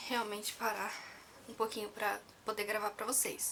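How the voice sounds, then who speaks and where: The speaker is a woman. Her pitch is fairly high. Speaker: vlogger. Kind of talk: personal story vlog. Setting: at home, near sleeping baby. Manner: soft-spoken, talking quietly; casual, with fillers.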